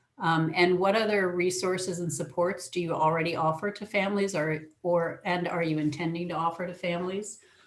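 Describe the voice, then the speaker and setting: A woman speaks at a fairly low pitch and a fairly quick pace. There are hardly any pauses, and her intonation is monotone and flat. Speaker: early education technical assistance presenter. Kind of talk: webinar presentation. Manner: fast.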